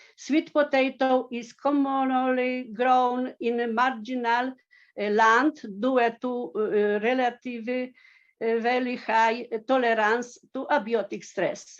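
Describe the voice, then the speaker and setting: Against a quiet background, a woman speaks in a Polish accent at a very slow pace. Her high pitch carries fairly even intonation. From Poland. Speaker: agricultural researcher. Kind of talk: conference presentation. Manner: halting, many fillers.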